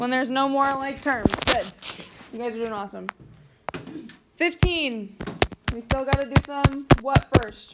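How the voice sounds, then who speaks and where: Against noticeable background noise, a woman speaks fairly slowly at a high pitch with ordinary pitch variation, big swings in loudness, and long, frequent pauses. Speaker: math teacher. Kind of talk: classroom review lesson. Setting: classroom with students.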